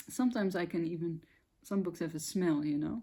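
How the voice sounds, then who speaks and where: A woman speaks with a fairly low pitch, a dark, mellow tone and ordinary pitch variation. The recording is very clean, with a silent background. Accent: Dutch. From Netherlands. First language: Dutch. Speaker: spiritual content creator. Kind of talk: casual monologue to camera. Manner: hesitant, searching for words.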